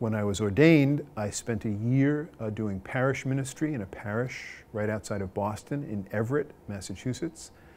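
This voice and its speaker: At a moderate pace, a man with an American accent and a normal speaking voice talks at a fairly low pitch with ordinary pitch variation. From Long Island, New York. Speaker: Jesuit priest. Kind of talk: interview answer.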